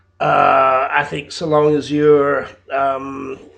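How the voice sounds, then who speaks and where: A man speaks with a British accent. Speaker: English teacher. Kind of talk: video job application. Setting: home, in his flat. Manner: halting, many fillers.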